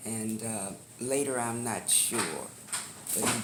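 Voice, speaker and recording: Over noticeable background noise, a woman with an American accent speaks in a very deep, low voice with monotone, flat intonation. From Washington DC. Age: 80s+. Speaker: retired telephone worker. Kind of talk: interview answer. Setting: hospital.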